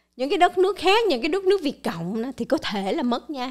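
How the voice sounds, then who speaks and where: Against a quiet background, a woman talks. Her pitch swings very widely. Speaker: channel host presenting news and explainers. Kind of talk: scripted-style monologue explainer. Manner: formal, polite address to viewers. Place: studio. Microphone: studio mic.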